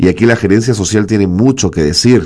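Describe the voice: A man talks at a fairly quick pace with a fairly low pitch. His tone is slightly mellow, and his pitch varies in an ordinary way.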